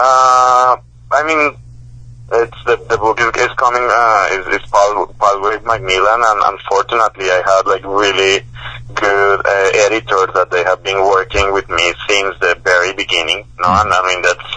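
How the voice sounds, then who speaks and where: Noticeable background noise surrounds a man with a fairly low pitch. He talks at a moderate pace with lively intonation. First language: Spanish. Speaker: professor and author. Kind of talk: interview. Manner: halting, many repetitions and fillers.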